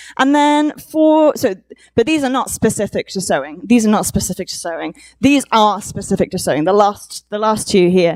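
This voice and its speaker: A woman with a Welsh accent, fairly high in pitch, at a fairly quick pace with very wide pitch swings. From Wales. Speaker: conference speaker. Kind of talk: conference talk. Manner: hesitant, many fillers.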